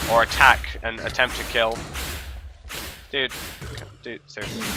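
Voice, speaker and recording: A man with a British accent speaks at a moderate pace over noticeable background noise. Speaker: gaming video creator. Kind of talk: let's play commentary. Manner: loud, almost shouting.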